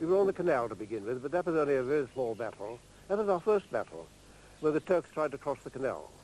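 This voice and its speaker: A man's very fast speech, dry with no echo. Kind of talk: interview answer. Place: garden.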